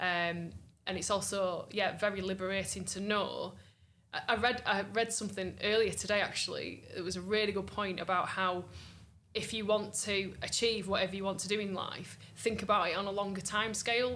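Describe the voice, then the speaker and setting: A woman speaks at a moderate pace in a monotone, flat intonation, her medium-pitched voice bright and sharp in tone, with audible room echo. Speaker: singer-songwriter. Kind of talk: interview. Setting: music festival.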